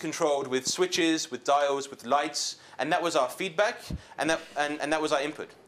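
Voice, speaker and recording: Noticeable background noise is present. Over it, a man speaks at a fairly high pitch. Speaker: tech company CEO giving a workshop talk. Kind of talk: workshop presentation. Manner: fast; casual, hesitant with fillers.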